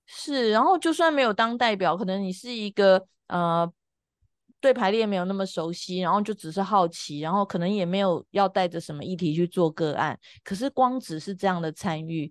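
In a normal speaking voice, a woman talks at a moderate pace and medium pitch with lively intonation, the sound dry and close with no echo against a quiet background. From Taiwan, Taipei. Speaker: family constellation facilitator. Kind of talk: casual interview chat.

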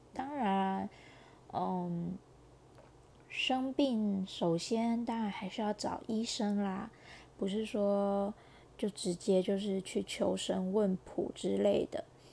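A woman's dark, mellow, medium-pitched voice with a Taiwanese accent, fairly even intonation, a very slow pace and long, frequent pauses, over a quiet background. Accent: Taiwanese Mandarin. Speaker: podcaster. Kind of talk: personal monologue. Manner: halting, many fillers.

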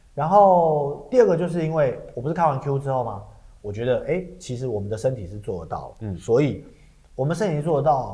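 Speaking in a Taiwanese accent at a fairly quick pace, a man with a fairly high pitch uses lively intonation in a dark, mellow, somewhat breathy tone. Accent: Taiwanese Mandarin. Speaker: podcast co-host and stage actor. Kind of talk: casual chat. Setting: studio.

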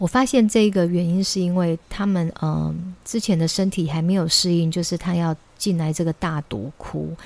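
Here is a woman with a normal speaking voice and a fairly low pitch. She keeps a moderate pace and ordinary pitch variation. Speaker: children's English teacher and podcast host. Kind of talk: casual monologue.

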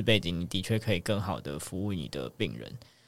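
A man talks with vocal fry. The recording is very clean, with a silent background. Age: 30s. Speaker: medical resident. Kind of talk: casual chat.

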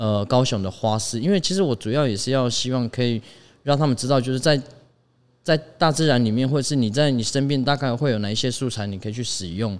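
Speech at a very fast pace with ordinary pitch variation comes through on a very clean recording with a silent background. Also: man, medium pitch for a man. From Taiwan, Taitung (Paiwan village). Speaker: designer. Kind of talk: casual chat. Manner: halting.

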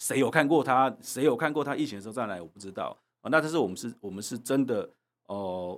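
A man talking very fast, the recording very clean and the background silent. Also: medium pitch for a man, big swings in loudness. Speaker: legislator. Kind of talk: interview.

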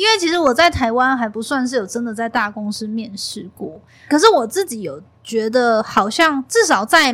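A woman with a high voice talks at a moderate pace, her loudness swinging widely. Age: 30s. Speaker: content creator and podcast host. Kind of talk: casual interview chat.

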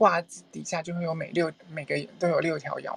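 Fairly low in pitch, a woman talks at a moderate pace with fairly even intonation. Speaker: human design teacher. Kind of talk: lecture. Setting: Clubhouse live room.

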